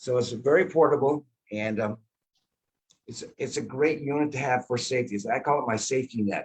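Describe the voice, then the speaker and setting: Speaking at a fairly quick pace, a man with a medium pitch and a somewhat breathy voice shows ordinary pitch variation. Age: 70s. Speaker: product distributor. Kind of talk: interview.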